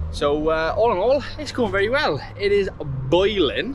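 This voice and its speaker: A man speaks at a fairly slow pace over music in the background. The sound is dry, with no echo. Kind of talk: casual vlog chat. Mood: upbeat, relaxed. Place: street. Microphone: phone near.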